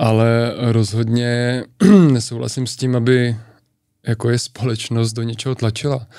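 A man's medium-pitched, dark, mellow voice, monotone and flat, at a fairly slow pace. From Czech Republic, near Turnov. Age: 30s. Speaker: decathlete. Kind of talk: interview.

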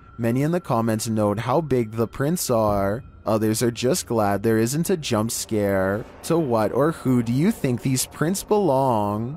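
A man uses a normal speaking voice at medium pitch, talking at a fairly slow pace with hardly any pauses, very even loudness and ordinary pitch variation. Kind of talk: scary video countdown narration. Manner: steady scripted read, measured pacing, wry humor.

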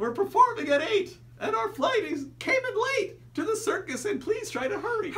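At a moderate pace, a put-on character voice pitched extremely high comes through over light background noise. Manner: urgent, hurried.

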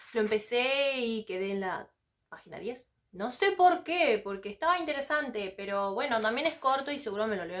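In a Rioplatense accent, a woman speaks at a moderate pace in a fairly high pitch with very wide pitch swings. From Argentina. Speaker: book vlogger. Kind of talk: casual vlog monologue. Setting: sitting on the floor of her home library. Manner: animated.

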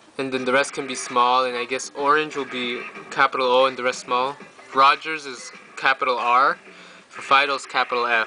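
A man speaks at a moderate pace in a monotone, flat intonation, with big swings in loudness. Light background noise sits behind him. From Canada. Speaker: YouTuber; tutorial maker. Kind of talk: tutorial. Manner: halting. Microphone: phone near.

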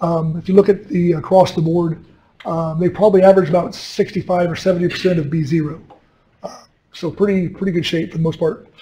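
A man with a high pitch and a dark, mellow tone talks at a moderate pace with fairly even intonation. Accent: American. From US West Coast. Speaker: commercial fisherman and fishery policymaker. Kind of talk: lecture.

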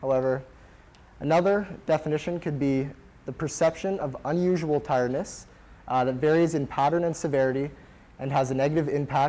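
The speaker is a man with a dark, mellow tone. He talks at a fairly quick pace. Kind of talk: lecture. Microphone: lapel.

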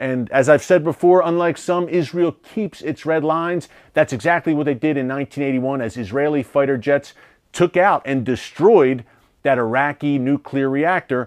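With an American accent, a man talks at a moderate pace in a fairly high pitch, showing ordinary pitch variation over a quiet background. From United States. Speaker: news show host. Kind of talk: news commentary. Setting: studio. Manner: emphatic, urgent; formal, fluent. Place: studio. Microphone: lapel.

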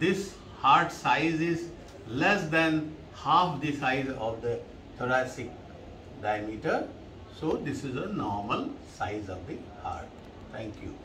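Over noticeable background noise, a man speaks at a very slow pace with long, frequent pauses. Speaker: doctor teaching radiology. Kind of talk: lecture. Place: office.

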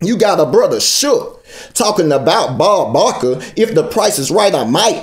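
A man's high voice with very wide pitch swings, moderate pace and a quiet background. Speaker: spoken word poet. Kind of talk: spoken word poetry performance. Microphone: phone near.

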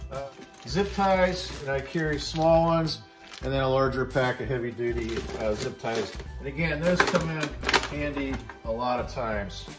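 Clear music plays in the background while the speaker leaves long, frequent pauses. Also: man, moderate pace. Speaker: preparedness vlogger. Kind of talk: casual gear show-and-tell. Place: garage. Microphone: phone near.

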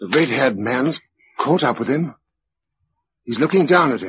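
A man uses a put-on character voice at a medium pitch, fairly bright in tone with a husky, rough edge. He moves at a fairly slow pace with big pitch swings.

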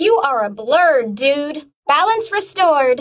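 A woman's cartoonish character voice, high-pitched, with very wide pitch swings. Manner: upbeat.

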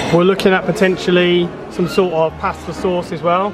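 Over clear music in the background, a man talks at a high pitch. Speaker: family vlogger. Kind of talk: casual vlog chat. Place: shop. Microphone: phone near.

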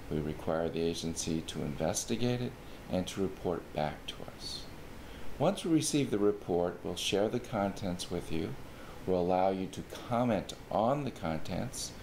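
Light background noise is present. A man speaks at a moderate pace in a very deep, low pitch. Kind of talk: informational explainer. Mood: calm, formal. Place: office.

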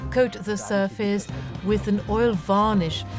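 Speech comes at a very slow pace, dry with no echo, with clear music in the background. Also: man. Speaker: auctioneer. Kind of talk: online auction presentation. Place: studio.

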